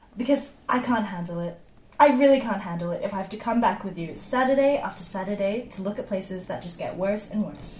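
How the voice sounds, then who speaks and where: Over noticeable background noise, a woman speaks at medium pitch and a fairly quick pace, with ordinary pitch variation and big swings in loudness. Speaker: fictional home buyer. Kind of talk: scripted audio fiction.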